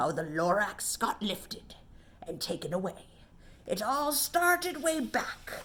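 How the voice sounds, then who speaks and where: In a nasal, put-on character voice, the speaker makes very wide pitch swings. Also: woman, fairly high pitch for a woman, fairly slow pace. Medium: read story. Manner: whispery, grunting.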